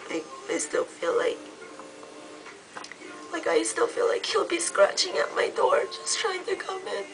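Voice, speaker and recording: Fairly slow speech broken by long, frequent pauses, with music in the background. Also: woman, extremely high pitch for a woman, ordinary pitch variation. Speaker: beauty vlogger. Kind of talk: casual talk to camera.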